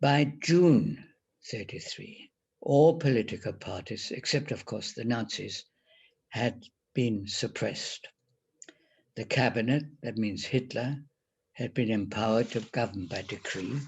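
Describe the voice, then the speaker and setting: A man speaks at a fairly slow pace in a somewhat breathy voice. Long, frequent pauses break up his speech. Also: medium pitch for a man, ordinary pitch variation. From Germany. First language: German. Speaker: Holocaust survivor. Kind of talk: testimony presentation.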